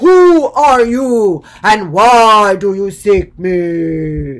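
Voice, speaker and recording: In a put-on character voice, a man speaks loud and resonant at a high pitch and a very slow pace. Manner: booming, loud.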